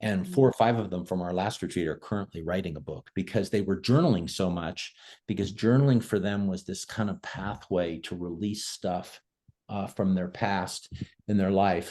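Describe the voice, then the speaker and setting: The voice has a dark, mellow tone and ordinary pitch variation, set against a quiet background. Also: man, very deep, low pitch for a man, moderate pace. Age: 60s. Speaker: nonprofit leader and author. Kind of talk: online discussion on video call. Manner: conversational with frequent fillers.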